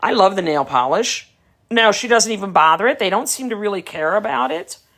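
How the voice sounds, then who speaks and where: A medium-pitched woman's voice with a New York accent. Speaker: dog breeder. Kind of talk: live stream chat. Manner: casual, conversational.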